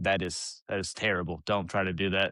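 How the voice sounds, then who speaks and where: Against a quiet background, a man talks at a moderate pace in a dry, close sound with no echo. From US South, Alabama. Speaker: author and father, podcast guest. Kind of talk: casual chat.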